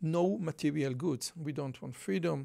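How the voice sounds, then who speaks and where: Speaking with a strong Israeli accent, a man uses a fairly high pitch. His pitch variation is ordinary. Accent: Israeli, thick. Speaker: podcaster and political commentator. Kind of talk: commentary video reading and discussing article quotes. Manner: casual with fillers.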